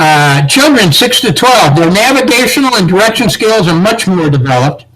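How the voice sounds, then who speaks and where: Lively in intonation and high in pitch, a man speaks at a moderate pace against noticeable background noise. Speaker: search and rescue instructor. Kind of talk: training lecture.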